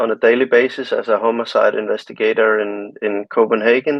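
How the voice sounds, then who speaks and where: At a moderate pace, a man talks in a Danish accent. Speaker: homicide detective. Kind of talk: interview. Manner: hesitant, searching for words.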